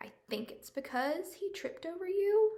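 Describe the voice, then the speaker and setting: A woman performs a put-on character voice. Her pitch is extremely high and her pace moderate. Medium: read story.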